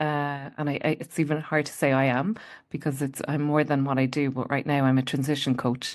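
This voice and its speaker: This woman has a very deep, low pitch and speaks in a Munster Irish accent. The background is quiet. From Ireland, County Limerick. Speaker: transition coach. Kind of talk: interview storytelling.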